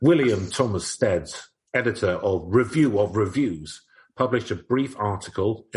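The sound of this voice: There is an unforced reading voice over a quiet background.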